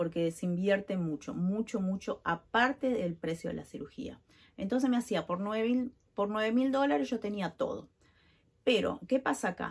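Against a silent background in a very clean recording, a woman at medium pitch speaks at a fairly slow pace, somewhat breathy, with lively intonation. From Uruguay. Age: 40s. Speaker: vlogger. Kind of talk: personal vlog. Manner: casual, filler-heavy.

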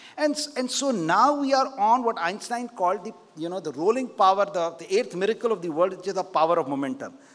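Lively in intonation and very fast in pace, a man speaks at a high pitch. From India. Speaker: keynote speaker, investor and politician. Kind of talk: keynote speech. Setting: conference stage with audience. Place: stage. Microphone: podium.

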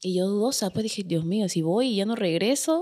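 Against a quiet background, the voice swings very widely in pitch. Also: woman. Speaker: social media content creator; podcast guest. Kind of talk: casual interview chat. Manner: fast. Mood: amused, lively. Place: studio. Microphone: studio mic.

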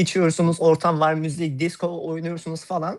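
A man speaks in a plain, everyday voice at a fairly high pitch and moderate pace. The recording is very clean, with a silent background. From Turkey, Hatay. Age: 20s. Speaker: card magician. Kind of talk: live magic demonstration. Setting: voice call on a livestream.

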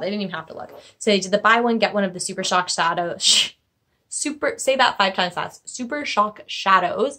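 Over light background noise, a woman speaks fairly quickly in a bright, sharp tone with ordinary pitch variation. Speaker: beauty vlogger. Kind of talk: casual vlog chat. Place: home room. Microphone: phone near.

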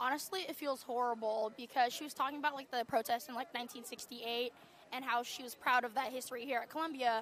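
Delivered at a fairly quick pace with fairly even intonation, the speech has a dry sound with no echo and light background noise. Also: woman, high pitch for a woman. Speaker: university student. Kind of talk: street interview. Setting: outdoors at a campus protest. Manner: casual, uses 'like' often. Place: open country.

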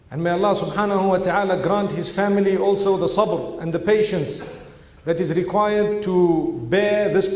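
Audible room echo surrounds a man whose high-pitched voice keeps a fairly even intonation. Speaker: speaker. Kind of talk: sermon. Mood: solemn, sorrowful. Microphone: podium.

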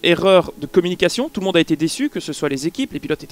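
The sound is dry, with no echo. A man is speaking. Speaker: podcast co-host. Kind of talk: commentary discussion. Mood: critical, measured. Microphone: headset.

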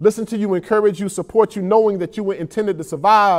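Against a quiet background, a man talks high-pitched at a fairly quick pace. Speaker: poet. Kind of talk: spoken word poetry performance. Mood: earnest, emotional, uplifting. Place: studio. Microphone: lapel.

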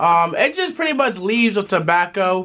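A man's raised, projected voice, high-pitched with a bright, sharp tone. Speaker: tobacco review youtuber. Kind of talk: casual review chat.

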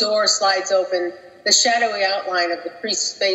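A passage is read aloud in a natural voice.

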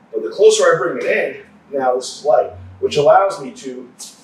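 Audible room echo colors the recording. The man talks at a moderate speed. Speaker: grappling coach. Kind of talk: tutorial. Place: gym.

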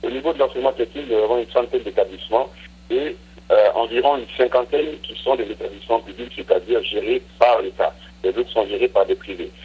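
Noticeable background noise fills the recording. A man talks through it at a fairly quick pace. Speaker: government minister. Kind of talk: interview. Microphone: poor line.

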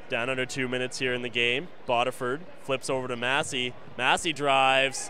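Music plays behind a man speaking at a medium pitch. His tone is energetic. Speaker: play-by-play commentator. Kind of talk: live sports commentary. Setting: broadcast from arena. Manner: rapid-fire, clipped play-by-play, calling each pass, drive and shot as it happens; energetic, steady broadcast delivery.

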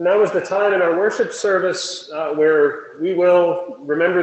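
There is audible echo from the room. The man's voice is high-pitched. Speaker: worship leader; presiding minister. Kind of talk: liturgy. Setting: church. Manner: formal. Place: church. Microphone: camera far.

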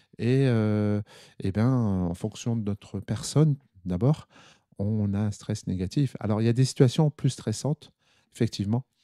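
A man's fairly low, dark, mellow voice at a fairly slow pace, with ordinary pitch variation and long, frequent pauses, in a very clean recording with a silent background and a dry, close sound with no echo. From northern France, Nord (Armentières). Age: 50s. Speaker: anaesthetist doctor. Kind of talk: interview. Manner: halting.

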